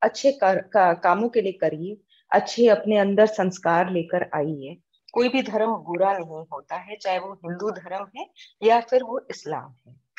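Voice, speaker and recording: Her pitch is medium and varies in an ordinary way. This woman talks in a plain, everyday voice. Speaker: social activist, NGO founder. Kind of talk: interview.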